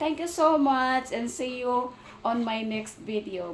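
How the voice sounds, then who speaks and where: A loud woman with a high pitch speaks at a very slow pace over noticeable background noise. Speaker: vlogger, domestic helper. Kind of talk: casual vlog. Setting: outdoors, then inside the house.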